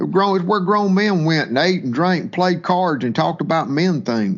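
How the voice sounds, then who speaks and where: In a Mississippi accent, the voice moves at a moderate pace with very wide pitch swings. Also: man. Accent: Mississippi Southern. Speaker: waterfowl hunting business owner. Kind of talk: interview storytelling. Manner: halting with repetitions.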